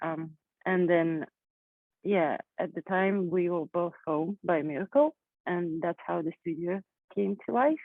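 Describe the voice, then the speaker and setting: Speaking with a non-native accent, a woman keeps a fairly slow pace with long, frequent pauses. Her pitch is fairly low, with ordinary variation. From Kazakhstan. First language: not English. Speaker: artist. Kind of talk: panel discussion. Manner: halting.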